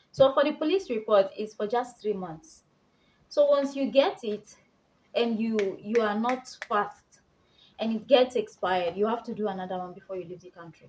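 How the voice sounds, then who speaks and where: Speaking with a Nigerian accent, a woman uses lively intonation and a fairly high pitch, with big swings in loudness. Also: moderate pace. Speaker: vlogger. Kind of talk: casual tutorial vlog.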